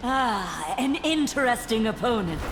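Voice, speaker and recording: Over loud background noise, a female-sounding voice uses a high-pitched, put-on character voice. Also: moderate pace. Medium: video game. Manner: detached, flat.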